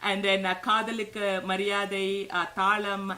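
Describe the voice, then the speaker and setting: A woman talks at a moderate pace in a medium pitch. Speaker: live broadcast host. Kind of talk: introducing a guest. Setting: live stream. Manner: halting, many fillers.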